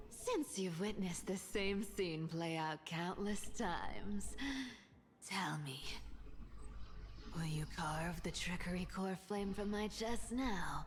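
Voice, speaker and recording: A woman's put-on character voice at a medium pitch, fairly slow, with long, frequent pauses and clear background noise. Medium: video game. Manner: firm, defiant.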